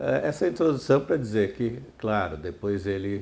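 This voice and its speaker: This man's voice has a dark, mellow tone and fairly low pitch. His intonation is lively. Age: 70s. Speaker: retired psychiatry professor. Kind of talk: oral history interview. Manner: hesitant, many fillers and repetitions.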